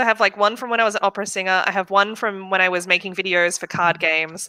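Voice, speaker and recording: A woman with an Australian accent speaks at a very fast pace and fairly even intonation. The sound is dry and close with no echo, though background noise is noticeable. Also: medium pitch for a woman. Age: 30s. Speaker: web development student. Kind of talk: casual chat.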